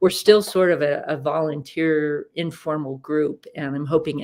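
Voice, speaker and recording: Very deep and low in pitch, a woman with an American accent speaks over a silent background in a very clean recording. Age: 60s. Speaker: retired executive and alumni volunteer leader. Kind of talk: interview. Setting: live video stream. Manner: hesitant, many fillers.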